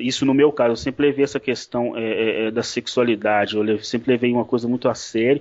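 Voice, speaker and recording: At a fairly quick pace, a man speaks with medium pitch and fairly even intonation. His loudness is very even. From Brazil. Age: 30s. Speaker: former pastor. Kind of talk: interview. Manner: halting, many repetitions.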